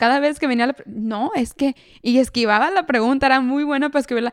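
Fairly quick, high-pitched female speech with ordinary pitch variation. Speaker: podcast co-host. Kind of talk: casual chat. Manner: code-switching between Spanish and English.

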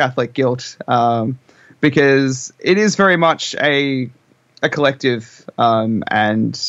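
A man with an Australian accent at a very slow pace, medium pitch, and ordinary pitch variation. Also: very even loudness. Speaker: rock band member. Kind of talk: casual interview. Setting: video call.

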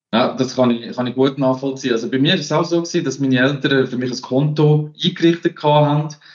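A man talks in an ordinary speaking voice at medium pitch. His pace is fairly quick and his intonation fairly even. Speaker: finance podcast host. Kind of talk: casual chat.

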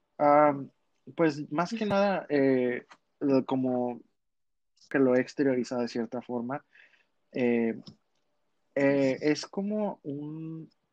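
Very slow speech from a man at fairly high pitch, with ordinary pitch variation and long, frequent pauses, dry and close with no echo over a quiet background. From Monterrey, Mexico. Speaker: drag artist. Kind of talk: casual chat.

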